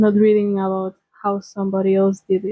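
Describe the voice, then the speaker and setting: A woman speaks with a Spanish accent at a medium pitch. Her intonation is monotone and flat. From Spain. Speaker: lifestyle vlogger. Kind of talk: personal vlog talk.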